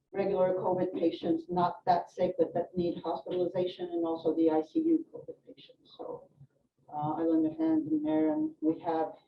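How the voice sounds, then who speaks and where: A woman with a European accent, fairly low pitch, monotone, flat intonation and big swings in loudness. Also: moderate pace. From France (Swedish mother). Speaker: nurse educator. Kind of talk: health presentation to live audience. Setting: room with live audience.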